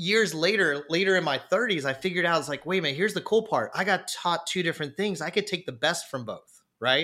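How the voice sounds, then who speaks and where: A man's high-pitched, bright, sharp voice at a very fast pace with hardly any pauses, on a very clean recording with a silent background. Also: ordinary pitch variation. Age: 40s. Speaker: architect and weightlifter. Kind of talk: casual chat. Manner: animated.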